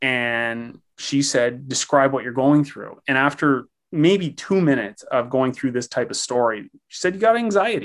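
A man with a Canadian accent, medium in pitch, lively intonation, a moderate pace with hardly any pauses, and a quiet background. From Canada, Ontario. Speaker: pencil artist. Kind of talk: interview testimony. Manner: halting.

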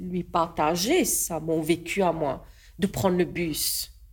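A woman speaks with a Mauritian accent. Her pitch is medium, with ordinary variation. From Mauritius. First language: Mauritian Creole (speaking French). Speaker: artist and politician. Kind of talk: casual chat. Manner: halting.

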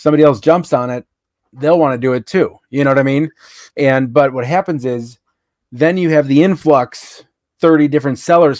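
In a dry, close recording with no echo, a man with an ordinary speaking voice talks at a fairly quick pace, his fairly high pitch showing ordinary pitch variation. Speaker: reseller and YouTuber. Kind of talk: casual chat.

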